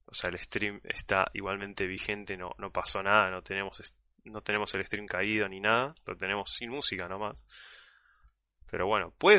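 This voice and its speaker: This man has a fairly low voice with a bright, sharp tone and a Rioplatense accent. The background is quiet. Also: big swings in loudness. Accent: Argentine Spanish (rioplatense). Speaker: podcast host and streamer. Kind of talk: casual live-stream chat. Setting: call.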